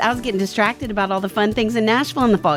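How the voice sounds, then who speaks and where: A woman speaks in a fairly high voice. Music plays in the background. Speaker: podcast host. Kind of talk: event promo.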